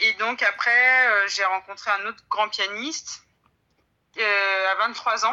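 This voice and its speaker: Very slowly, a woman speaks in a fairly high pitch with a bright, sharp tone and fairly even intonation. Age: 30s. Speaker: pianist and piano teacher. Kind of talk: interview. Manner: halting.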